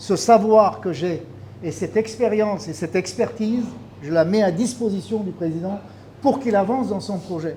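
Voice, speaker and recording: Against noticeable background noise, a man talks at a high pitch and a moderate pace with ordinary pitch variation. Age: 60s. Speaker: fisheries expert. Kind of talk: speech at a launch event.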